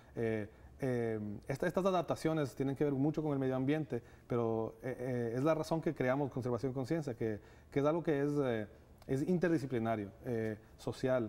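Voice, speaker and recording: This man's voice has a dark, mellow tone. His pitch varies in an ordinary way. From Ecuador. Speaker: nonprofit director. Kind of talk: TV interview. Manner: hesitant, many fillers. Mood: earnest, thoughtful. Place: studio. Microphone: lapel.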